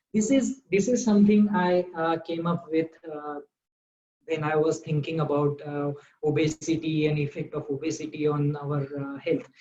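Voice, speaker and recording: A man with a Marathi accent speaks at a moderate pace. His voice sits fairly high, with ordinary pitch variation. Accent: Indian English, Marathi. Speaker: doctor. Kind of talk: interview. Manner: halting, many fillers.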